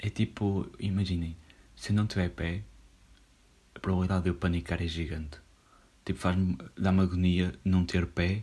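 Speaking at a moderate pace with long, frequent pauses, a man has a very deep, low pitch and a dark, mellow tone that is somewhat breathy. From northern Portugal. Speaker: podcaster. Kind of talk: casual solo monologue. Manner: relaxed, slangy with many fillers.

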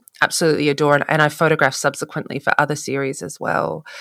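Recorded very cleanly against a silent background, a woman speaks with a very deep, low pitch. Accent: Australian. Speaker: photographer. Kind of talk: casual chat.

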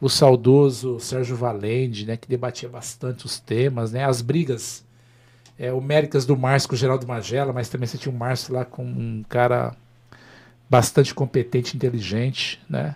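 A somewhat breathy voice with fairly even intonation comes through on a very clean recording with a silent background. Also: man, medium pitch for a man, moderate pace. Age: 50s. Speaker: former mayor and politician. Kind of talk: interview on a live web show.

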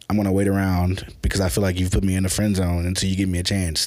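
A man with an American accent speaks very fast in a very deep, low voice. His intonation stays flat and monotone. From US South, Memphis, Tennessee. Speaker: filmmaker. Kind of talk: casual chat.

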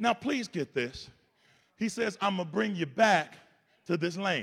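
A man is speaking. His tone is animated. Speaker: pastor. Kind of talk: sermon; preacher in full flow, call-and-response with a congregation. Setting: church with congregation. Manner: animated, exhorting the congregation; conversational, humorous, colloquial.

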